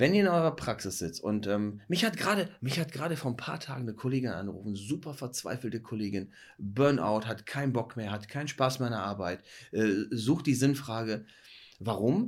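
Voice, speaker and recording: On a very clean recording with a silent background, a man talks at a fairly quick pace and medium pitch, his intonation lively. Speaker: dentist and podcast host. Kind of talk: casual chat. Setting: dark room, one lamp. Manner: lowered, hypnotic voice.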